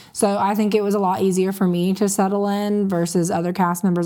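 A woman with an American accent, a dark, mellow tone and medium pitch, flat and monotone at a very fast pace. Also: hardly any pauses, very even loudness. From Florida Panhandle (Panama City). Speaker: reality TV cast member. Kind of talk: interview.

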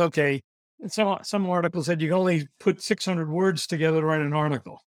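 A New York accent with fairly even intonation, in a dry, close sound with no echo. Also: man. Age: 70s. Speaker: recruitment consultant. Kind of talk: podcast interview. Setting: video call. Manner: fast talker.

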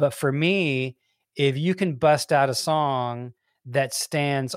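In a Southern US accent, a man speaks at a very slow pace with a fairly high pitch and fairly even intonation, the sound dry and close with no echo. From US South (Alabama, then Memphis, Tennessee). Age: 60s. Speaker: songwriter and music executive. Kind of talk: casual interview chat.

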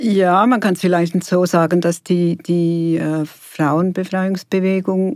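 A woman's medium-pitched voice at a very slow pace. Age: 60s. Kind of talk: interview. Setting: studio.

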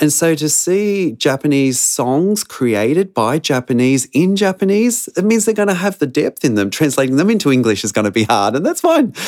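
A man with an Australian accent speaks at a moderate pace with hardly any pauses and very even loudness. His pitch is fairly high and swings very widely. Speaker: missionary. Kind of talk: interview.

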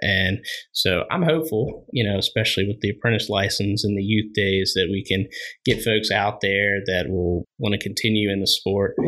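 A man with an American accent speaks in a bright, sharp tone with very even loudness and ordinary pitch variation. The recording is very clean, with a silent background. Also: fairly low pitch for a man, moderate pace. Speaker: outdoor store employee and hunter. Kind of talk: casual chat.

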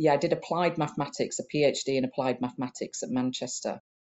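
A woman at a fairly quick pace. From Huddersfield, Yorkshire, northern England. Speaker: meteorologist and science society chief executive. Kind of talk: interview.

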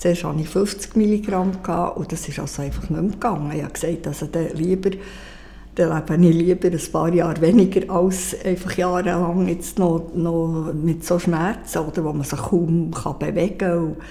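Audible room echo surrounds the voice. The pace is moderate and the intonation fairly even. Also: woman, fairly low pitch for a woman. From Switzerland. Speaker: heart attack survivor. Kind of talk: interview.

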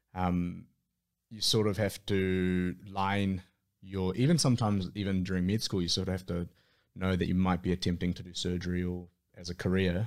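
With a New Zealand accent, a man speaks at a very deep, low pitch and a moderate pace. His intonation is monotone and flat on a very clean recording with a silent background. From New Zealand, Auckland. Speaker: surgical registrar. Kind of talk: casual interview.

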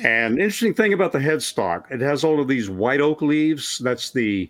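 A man's unremarkable speaking voice moves at a moderate pace, its intonation lively. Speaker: former Kingston Trio musician. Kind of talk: casual interview chat. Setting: video call.

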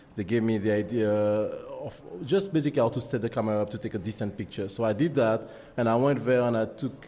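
With a strong French accent, a man talks very fast at a medium pitch with ordinary pitch variation. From Martinique. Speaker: photographer. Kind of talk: interview. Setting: studio. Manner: halting.

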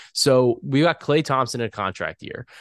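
In a quiet background with dry, close sound and no echo, a man with an ordinary speaking voice talks at a moderate pace, medium pitch and ordinary pitch variation. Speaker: podcast host. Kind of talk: sponsored betting podcast chat.

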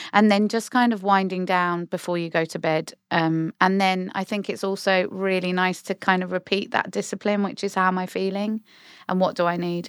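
Against a very clean recording with a silent background, a woman with a British accent speaks at a moderate pace and medium pitch in a monotone, flat intonation. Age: 40s. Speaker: psychotherapist and podcast co-host. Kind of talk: casual chat. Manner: laughs often.

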